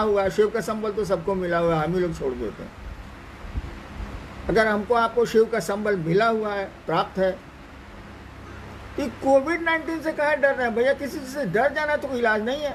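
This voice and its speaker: Against noticeable background noise, a man speaks at a high pitch with long, frequent pauses. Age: 70s. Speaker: spiritual teacher. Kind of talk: spiritual discourse. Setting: online live stream.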